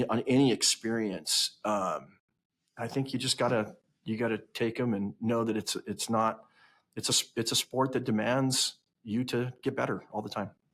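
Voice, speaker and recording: A man with an American accent speaks at a moderate pace with fairly even intonation. The recording is very clean, with a silent background. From western US. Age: 50s. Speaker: company CEO. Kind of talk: podcast interview. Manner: halting, many repeated words.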